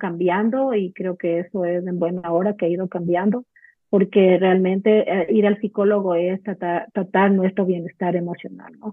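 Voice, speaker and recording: Monotone, flat intonation from a woman, medium in pitch and fairly slow in pace. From Ecuador. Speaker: clinical psychologist. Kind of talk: casual interview chat.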